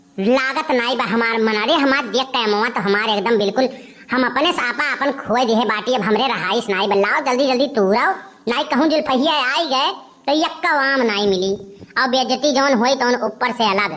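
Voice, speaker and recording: A cartoonish character voice holds very even loudness throughout. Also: woman, high pitch for a woman, moderate pace. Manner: loud, abusive, quarrelsome.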